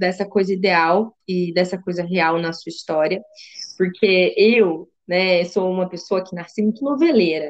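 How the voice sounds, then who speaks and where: Speaking at a fairly slow pace, a woman uses a normal speaking voice at medium pitch. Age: 30s. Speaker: podcast host, psychologist. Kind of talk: casual interview chat.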